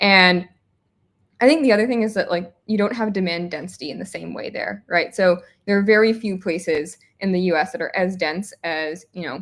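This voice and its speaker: Speaking at a moderate pace in an American accent, a woman uses a plain, everyday voice with medium pitch and ordinary pitch variation. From United States. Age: 20s. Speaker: startup founder. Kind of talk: interview.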